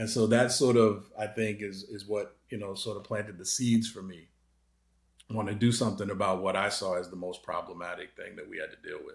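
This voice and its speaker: With a slight Boston accent, a man speaks at a fairly quick pace in a somewhat breathy, fairly low voice, with fairly even intonation and big swings in loudness. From Massachusetts, Boston area. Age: 50s. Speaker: anti-racism advocate. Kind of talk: interview. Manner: hesitant, many fillers.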